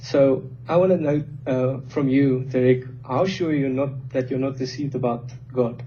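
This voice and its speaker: Audible room echo surrounds a man with a non-native accent who speaks at a moderate pace with fairly even intonation. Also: medium pitch for a man. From South Africa. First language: not English. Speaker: industrial engineer, debater. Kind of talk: informal debate.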